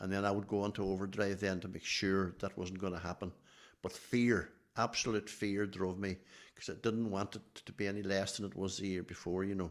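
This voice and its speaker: A man with a Donegal accent, fairly low pitch and a monotone, flat intonation, at a fairly quick pace. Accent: Donegal Irish. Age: 70s. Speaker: athletics team manager. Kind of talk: podcast interview.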